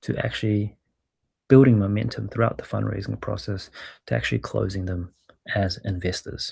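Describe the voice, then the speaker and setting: Someone with a New Zealand accent talks at a moderate pace in a quiet setting. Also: man. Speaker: startup growth lead and former venture capitalist. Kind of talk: webinar presentation.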